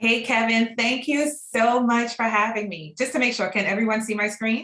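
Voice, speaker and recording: In a slight Trinidadian accent, a woman speaks at a moderate pace and fairly high pitch with fairly even intonation. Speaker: real estate broker. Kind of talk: online class.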